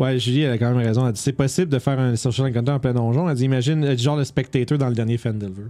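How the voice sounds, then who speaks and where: In a Quebec accent, the speaker rushes along at a very fast pace with hardly any pauses, over noticeable background noise. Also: man, medium pitch for a man. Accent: Québécois French. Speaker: tabletop gaming podcast host. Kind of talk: casual chat. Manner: animated.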